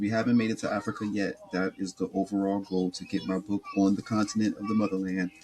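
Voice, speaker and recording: With a flat, monotone delivery and an American accent, the speaker talks at a fairly quick pace over noticeable background noise. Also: man. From US East Coast. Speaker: podcast host. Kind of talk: casual monologue. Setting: home recording on laptop.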